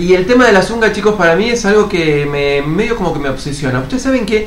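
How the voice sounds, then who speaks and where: Lively and fairly quick, a man speaks at a high pitch. Audible room echo and noticeable background noise surround him. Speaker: podcast co-host. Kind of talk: casual chat.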